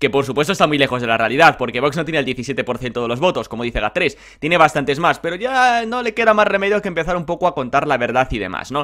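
Over a quiet background, a man rattles along very fast with hardly any pauses, his fairly high, bright, sharp voice swinging very widely in pitch. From Spain. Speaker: political youtuber. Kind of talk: political commentary vlog. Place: home room. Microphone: webcam.

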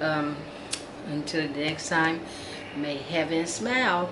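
A woman's fairly low voice at a fairly slow pace, over noticeable background noise. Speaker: doll collector vlogger. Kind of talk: casual vlog chat. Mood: warm, cheerful sign-off. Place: home room. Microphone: phone near.

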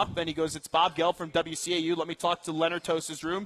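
Speaking fairly quickly, a man with an American accent uses a high pitch. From New York. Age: 20s. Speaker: sports radio host. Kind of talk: sports talk radio. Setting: live remote broadcast at a restaurant. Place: studio.

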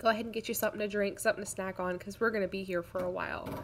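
The speaker is a woman. Her intonation is monotone and flat. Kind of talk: casual crafting vlog chat. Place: home room.

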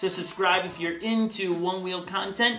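A man's raised, projected voice with audible room echo and faint background music. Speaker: product reviewer. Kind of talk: casual review talk to camera. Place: home room.

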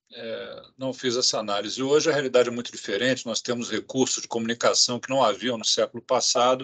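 The man talks at a fairly quick pace over a quiet background. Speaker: health agency director. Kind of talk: press conference. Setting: video call. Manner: formal. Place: office. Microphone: video call.

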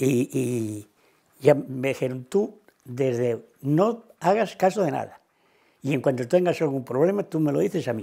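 A man's dark, mellow voice, fairly high in pitch, with lively intonation at a fairly slow pace over a quiet background. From Cantabria, Spain. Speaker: retired cattle farmer and former waiter; interviewee. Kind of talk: oral history interview answer. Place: home room. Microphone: lapel.

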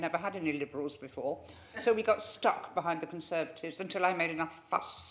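Light noise sits behind a woman's voice. She speaks at a very fast pace. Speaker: retiring councillor. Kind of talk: acceptance speech. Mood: humorous, reminiscing. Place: meeting room.

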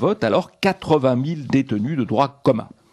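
A man speaks in a somewhat breathy voice with lively intonation. The background is quiet. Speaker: radio newsreader. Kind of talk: news bulletin reading. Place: studio.

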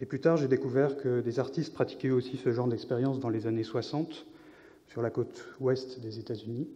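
Monotone and flat, a man's intonation holds at a moderate pace. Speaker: visual artist and scientific researcher. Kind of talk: conference talk. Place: hall. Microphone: podium.

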